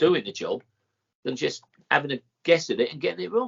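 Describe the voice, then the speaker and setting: A man's voice with vocal fry. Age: 60s. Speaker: boxing cutman. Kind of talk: podcast interview.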